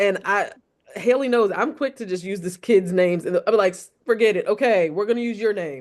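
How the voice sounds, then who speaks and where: A woman with an American accent speaks at a fairly quick pace in a plain, everyday voice. Her pitch is medium, and her loudness swings a lot. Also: ordinary pitch variation. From Montgomery County, Maryland. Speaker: classroom teacher. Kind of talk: casual panel discussion.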